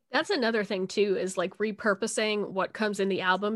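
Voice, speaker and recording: A woman speaks at a fairly quick pace in a medium pitch. The background is quiet. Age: 20s. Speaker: podcast host, designer by trade. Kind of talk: casual chat. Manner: animated.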